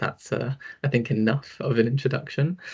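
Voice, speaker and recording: A somewhat breathy man at a fairly quick pace. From London, England. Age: 20s. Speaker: social worker. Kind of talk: online talk / presentation. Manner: casual, hesitant, many fillers.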